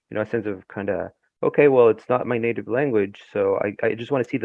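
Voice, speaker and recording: Here a man speaks with a Spanish accent. His pace is fairly quick and his intonation fairly even. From Ecuador. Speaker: novelist. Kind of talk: interview. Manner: halting, many fillers.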